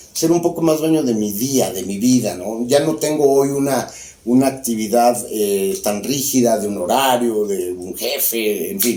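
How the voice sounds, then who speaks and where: A man speaks with a Mexican accent. Noticeable background noise and audible room echo surround his voice. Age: 60s. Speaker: former politician. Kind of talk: interview conversation.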